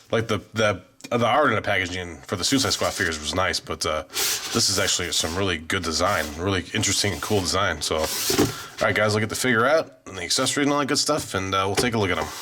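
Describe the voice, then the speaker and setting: A man's fairly low voice at a very fast pace, lively in intonation, over noticeable background noise. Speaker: toy collectible reviewer. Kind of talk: product review. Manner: casual, filler-heavy.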